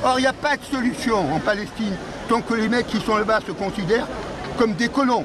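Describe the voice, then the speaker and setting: With crowd noise behind him, a man speaks at a fairly quick pace in a high pitch with ordinary pitch variation. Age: 80s+. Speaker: veteran activist. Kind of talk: street argument. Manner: animated; halting.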